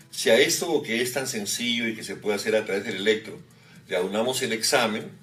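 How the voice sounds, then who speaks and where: Audible room echo surrounds the speaker. He is a man talking at a fairly quick pace. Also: medium pitch for a man, ordinary pitch variation. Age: 50s. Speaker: cardiologist. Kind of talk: medical interview explanation. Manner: hesitant fillers.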